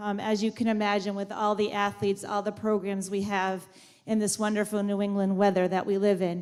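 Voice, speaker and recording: A woman's voice at a medium pitch. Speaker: high school principal. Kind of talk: ceremony speech. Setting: school auditorium with audience, on mic. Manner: loud.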